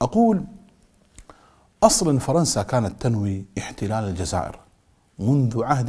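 Very slow speech with a dark, mellow tone comes over a quiet background. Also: man. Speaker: presenter. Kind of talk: documentary narration. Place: studio. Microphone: lapel.

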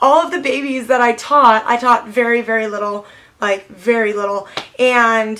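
A woman is speaking. Her pitch sits fairly high. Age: 20s. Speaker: beauty vlogger. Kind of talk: casual chat. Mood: warm, nostalgic. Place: home room.

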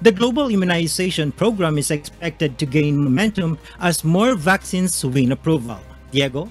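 Faint music sits in the background as the speaker keeps a moderate pace, the sound dry with no echo. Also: man. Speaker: news correspondent. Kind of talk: news report. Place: home room.

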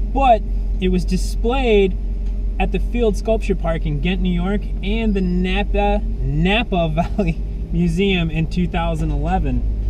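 A man talks at a very slow pace over noticeable background noise. The sound is dry, with no echo. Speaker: car dealer host. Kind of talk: casual car review commentary. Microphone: camera far.

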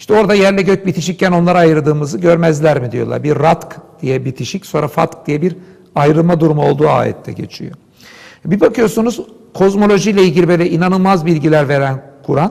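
A high-pitched man at a fairly quick pace, with ordinary pitch variation and a quiet background. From Istanbul, Turkey. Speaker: philosopher and Islamic scholar. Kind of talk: interview discussion, explanatory talk. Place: studio. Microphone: lapel.

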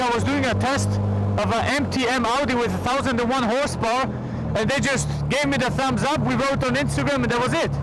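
A man speaks at a moderate pace with dry sound and no echo. Loud background noise runs underneath. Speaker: car vlogger. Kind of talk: casual vlog commentary while driving. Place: car.

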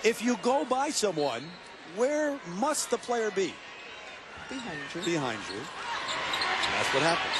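A man with an excited, energetic tone, high pitch and very wide pitch swings, at a moderate pace, in a dry sound with no echo over loud background noise. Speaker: play-by-play basketball announcer. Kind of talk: sports commentary. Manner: excited, energetic on key plays. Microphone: headset.

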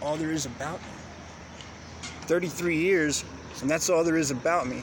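A man speaks at a fairly slow pace, leaving long, frequent pauses. His pitch is fairly high and his intonation fairly even, with noticeable background noise behind him. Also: dry sound with no echo. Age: 30s. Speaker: vlogger. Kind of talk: personal monologue. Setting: outdoors in city. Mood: reflective, personal storytelling. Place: open country. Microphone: phone near.

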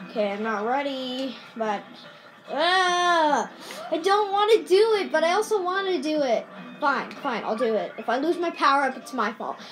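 With faint music in the background, a woman speaks in a high voice at a moderate pace. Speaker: gamer filming own play. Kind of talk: casual gameplay commentary. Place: home room. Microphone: phone near.

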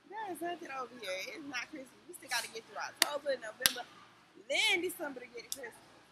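Over loud background noise, the voice races at a very fast pace, with very wide pitch swings and big jumps in loudness. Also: woman, high pitch for a woman. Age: 40s. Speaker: vlogger. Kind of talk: casual vlog talk to camera. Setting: in a store. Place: shop. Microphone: phone near.

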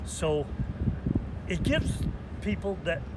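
A man at a very slow pace over loud background noise. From Maine. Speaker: lobsterman. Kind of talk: interview answer. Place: waterside.

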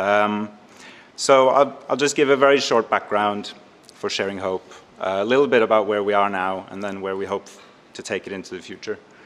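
A man with a Norwegian accent at a fairly quick pace, ordinary pitch variation and big swings in loudness. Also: fairly low pitch for a man. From Norway. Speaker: arts and health coordinator; speaker. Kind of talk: panel presentation. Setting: stage with audience. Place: hall. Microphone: podium.

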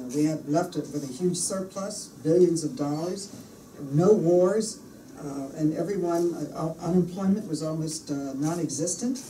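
A woman speaks at a moderate pace and a fairly low pitch. Light background noise and audible room echo can be heard. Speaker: politician giving a speech. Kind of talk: speech. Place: meeting room. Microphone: podium.

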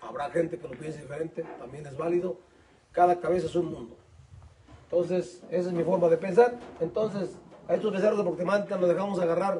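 Against light background noise, a man with a high pitch and ordinary pitch variation talks at a fairly quick pace, his loudness swinging widely. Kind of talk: explanatory casual talk. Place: open country. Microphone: phone near.

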